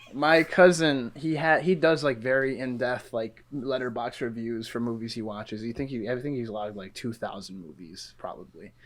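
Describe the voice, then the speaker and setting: A plain, everyday voice runs on with hardly any pauses, ordinary pitch variation, and big swings in loudness. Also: man, medium pitch for a man, moderate pace. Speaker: podcast guest, film student. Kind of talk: casual chat.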